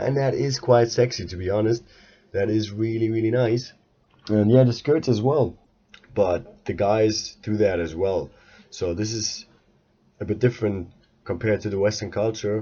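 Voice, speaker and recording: His voice is fairly low in pitch and somewhat breathy, with ordinary pitch variation and long, frequent pauses as the man speaks. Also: moderate pace. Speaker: podcaster. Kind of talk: casual monologue podcast. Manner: halting, many filler sounds.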